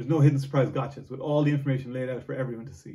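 Against a quiet background, a man's somewhat breathy voice carries a dark, mellow tone at a fairly high pitch. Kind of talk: board game top ten list to camera, read from teleprompter. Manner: nervous. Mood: enthusiastic. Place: home room. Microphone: camera far.

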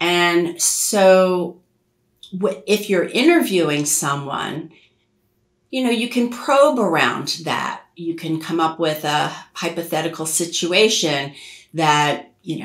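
A woman with a fairly low pitch and lively intonation speaks at a slow pace amid audible room echo.

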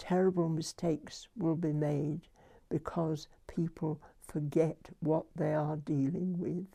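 In a British accent, a woman speaks very slowly with a very deep, low pitch, a dark, mellow tone and monotone, flat intonation. The background is quiet. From United Kingdom. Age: 80s+. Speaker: nuclear historian. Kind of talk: interview answer. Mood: reflective, grave. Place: home room.

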